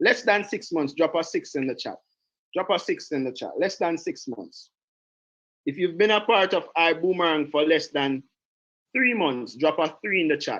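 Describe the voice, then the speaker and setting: A man with a Jamaican accent, a high pitch and lively intonation at a moderate pace, against a quiet background. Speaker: direct sales trainer. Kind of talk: online training call. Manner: animated.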